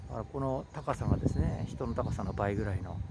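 Against noticeable background noise, a man speaks very fast in a dry sound with no echo. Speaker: castle tour vlogger. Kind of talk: casual commentary while walking. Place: forest. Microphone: phone near.

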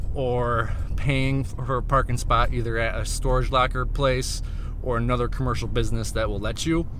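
A man talks at a moderate pace, the sound dry with no echo and light background noise present. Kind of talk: casual vlog chat. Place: car. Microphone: phone near.

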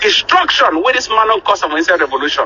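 With lively intonation, a man speaks in a bright, sharp tone.

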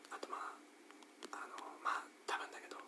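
A man is speaking. He whispers. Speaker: ASMR creator. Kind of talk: whispered ASMR talk while playing a rhythm game. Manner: whispered. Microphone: studio mic.

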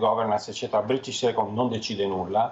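Fairly even intonation marks a man's medium-pitched voice. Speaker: financial commentator. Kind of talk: TV interview. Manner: halting. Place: home room. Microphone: headset.

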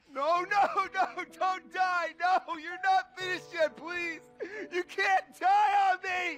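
In a put-on character voice, a man talks slowly at an extremely high pitch, with a fairly bright tone and fairly even intonation.

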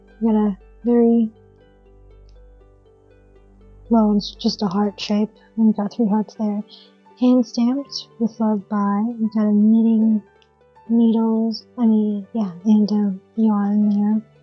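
A woman speaks at a very slow pace, with long, frequent pauses and a monotone, flat intonation. Faint music plays in the background. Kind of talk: casual haul narration. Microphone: phone near.

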